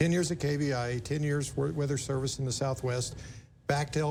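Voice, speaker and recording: A man speaks with fairly even intonation in a somewhat breathy voice. Audible room echo surrounds him. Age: 60s. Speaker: TV station manager hosting interview. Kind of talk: interview.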